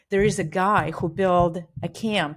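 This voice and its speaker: A woman with a Russian accent is heard in a very clean recording with a silent background. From Russia (Siberia). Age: 40s. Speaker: bike shop owner. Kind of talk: interview conversation.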